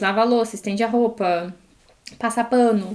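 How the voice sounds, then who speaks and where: A woman speaks at a fairly high pitch. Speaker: podcast co-host, former au pair. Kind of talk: casual chat. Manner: animated.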